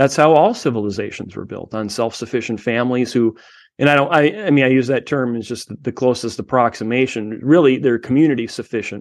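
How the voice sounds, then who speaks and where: A man with a plain, everyday voice speaks at medium pitch and a fairly quick pace. His pitch variation is ordinary, and the background is quiet. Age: 40s. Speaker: homesteader and tech consultant. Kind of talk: interview.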